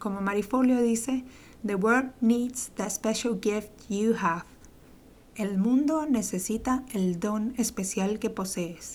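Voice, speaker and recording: A woman with a fairly high pitch and a somewhat breathy voice speaks at a very slow pace. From Venezuela. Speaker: podcast host, entrepreneur coach. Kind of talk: monologue podcast intro. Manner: enthusiastic.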